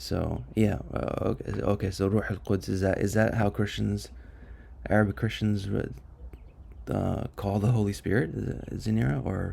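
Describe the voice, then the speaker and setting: Dark, mellow tone with vocal fry and lively intonation, in an American accent at a moderate pace. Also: man. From US. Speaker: study group leader. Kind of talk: online study session discussion. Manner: halting, many fillers.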